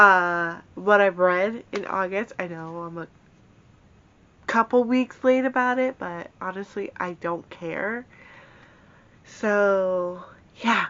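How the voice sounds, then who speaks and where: Very slow and marked by long, frequent pauses, a woman's medium-pitched speech with an American accent shows ordinary pitch variation. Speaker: book vlogger. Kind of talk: casual chat. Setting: home, in bedroom. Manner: halting, many fillers.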